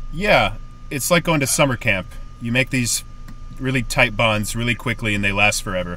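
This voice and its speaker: Amid noticeable background noise, a man at medium pitch speaks at a moderate pace with lively intonation. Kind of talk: podcast host interview. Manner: jokey, casual.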